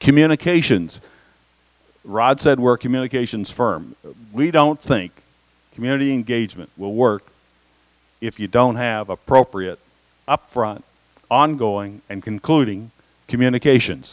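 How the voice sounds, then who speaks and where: The speech moves at a moderate pace with long, frequent pauses and ordinary pitch variation, recorded with a dry, close sound and no echo. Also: man, medium pitch for a man. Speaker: education consultant presenting to school board. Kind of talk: presentation. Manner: halting, many fillers.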